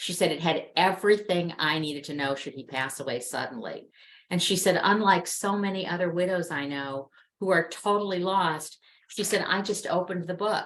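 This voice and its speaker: A woman's unremarkable speaking voice sits at a fairly low pitch, moving at a moderate pace with ordinary pitch variation. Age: 60s. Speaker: webinar guest speaker on end-of-life planning. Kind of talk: interview over video webinar. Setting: video call.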